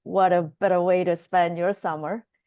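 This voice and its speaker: A woman with a Korean accent speaks in a monotone, flat intonation. The sound is dry and close with no echo, over a quiet background. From South Korea. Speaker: biotech executive. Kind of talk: interview.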